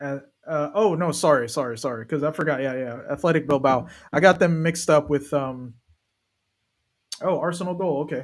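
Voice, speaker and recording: On a very clean recording with a silent background, a man with an American accent talks at a fairly quick pace in a fairly high pitch, with ordinary pitch variation and long, frequent pauses. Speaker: football streamer. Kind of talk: live watch-along commentary. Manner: animated.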